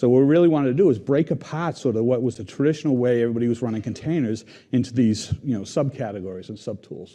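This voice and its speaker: A man with a Boston accent and a dark, mellow tone speaks at medium pitch with ordinary pitch variation. His pace is very fast, with hardly any pauses. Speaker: software engineering team lead. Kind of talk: conference tech talk.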